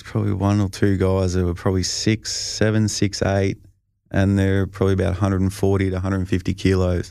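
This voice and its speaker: A man's fairly low voice, dark and mellow in tone, with an Australian accent. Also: very clean recording, silent background. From Australia, Albury-Wodonga region (Victoria). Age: 30s. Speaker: professional football punter. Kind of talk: casual chat. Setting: studio.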